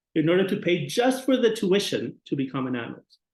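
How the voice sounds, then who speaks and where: Moderate pace and a Spanish accent. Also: man. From Mexico. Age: 40s. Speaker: psychologist. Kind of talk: lecture. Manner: halting.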